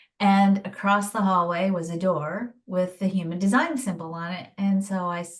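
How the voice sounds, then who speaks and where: A somewhat breathy quality marks this woman's speech. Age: 50s. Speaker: human design teacher and former nurse. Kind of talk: interview.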